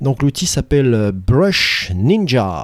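The recording has a dry, close sound without any echo. A man does the talking. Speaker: teacher and podcast co-host. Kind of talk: casual chat.

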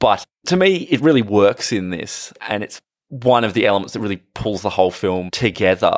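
A man's fairly low-pitched voice with an Australian accent. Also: ordinary pitch variation, moderate pace, very clean recording, silent background. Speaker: film podcast co-host. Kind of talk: casual chat.

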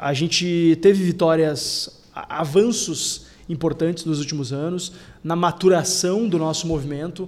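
Monotone and flat, a man's high-pitched voice barely changes in intonation. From Porto Alegre, Rio Grande do Sul, Brazil. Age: 30s. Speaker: state legislator. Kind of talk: podcast interview.

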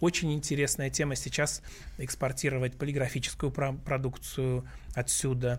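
The speaker talks at a fairly quick pace and sounds somewhat breathy. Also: man. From Russia. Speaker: businessman and blogger, book author. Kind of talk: radio interview. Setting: radio studio.

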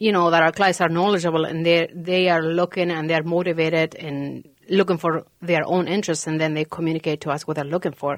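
In a Spanish accent, a woman speaks at a fairly low pitch with monotone, flat intonation. The recording is very clean with a silent background. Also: fairly quick pace, hardly any pauses. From Argentina (Santa Fe). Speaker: realtor. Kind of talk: casual chat.

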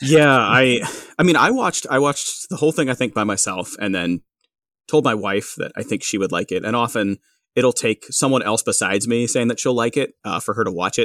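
This man has a normal speaking voice at a medium pitch with lively intonation. He talks fairly quickly, and the sound is dry and close with no echo. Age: 30s. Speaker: podcast guest. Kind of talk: casual chat.

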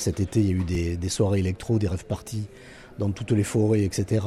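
A man's fairly low, dark, mellow voice is somewhat breathy and moves at a fairly quick pace. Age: 60s. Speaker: artistic director of a concert venue. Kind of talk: radio interview.

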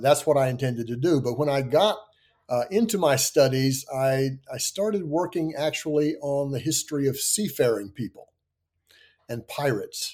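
In a normal speaking voice, a man with an American accent and a fairly high pitch uses lively intonation. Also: moderate pace. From US South (Kentucky, Tennessee, Virginia). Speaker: history professor. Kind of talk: interview.

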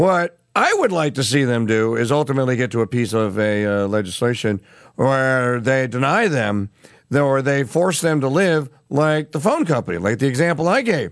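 With a plain, everyday voice at medium pitch, a man talks at a moderate pace with lively intonation and very even loudness against a quiet background. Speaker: radio news host. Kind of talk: news commentary.

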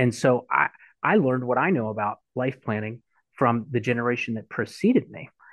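An unremarkable speaking voice from a man, medium in pitch, with ordinary pitch variation. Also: fairly quick pace. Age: 40s. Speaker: financial advisor. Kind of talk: interview.

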